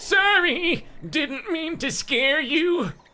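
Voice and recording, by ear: The speaker performs a put-on character voice with a high pitch.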